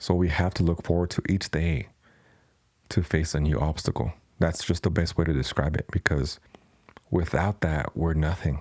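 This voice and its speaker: At a moderate pace, a man with a Spanish accent speaks at a very deep, low pitch. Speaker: podcast host and tattoo artist. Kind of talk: casual Q&A podcast monologue.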